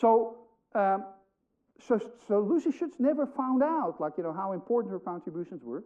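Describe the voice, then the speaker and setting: The man's voice is high and swings very widely in pitch. He leaves long, frequent pauses. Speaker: history of science lecturer. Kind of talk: public lecture. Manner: fast.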